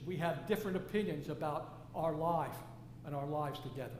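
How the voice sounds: Audible room echo surrounds a man speaking at a fairly quick pace with fairly high pitch and lively intonation.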